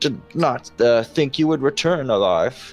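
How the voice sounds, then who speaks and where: Faint music plays in the background as someone uses a put-on character voice at a fairly slow pace. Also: man, medium pitch for a man. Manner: mimicked, shifting tones.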